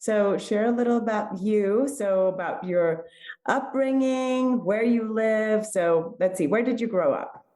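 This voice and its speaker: With a slight Spanish accent, a woman speaks fairly slowly in a fairly high voice with a dark, mellow tone, ordinary pitch variation and very even loudness, in audible room echo. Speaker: podcast host. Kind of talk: interview.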